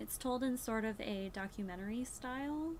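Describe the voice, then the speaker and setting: The voice has a somewhat breathy quality. It belongs to a woman. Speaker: booktuber. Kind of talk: book review vlog. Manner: slurring words; casual, hesitant with fillers.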